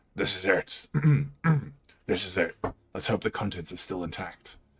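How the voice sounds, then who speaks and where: Putting on a character voice, a man speaks in a very deep, low, raspy tone with monotone, flat intonation. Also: moderate pace. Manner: relieved.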